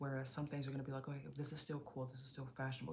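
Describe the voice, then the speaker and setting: A somewhat breathy woman talks with an American accent at a very deep, low pitch. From Chicago area, US Midwest. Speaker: fashion and beauty streamer. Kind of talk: casual live stream chat.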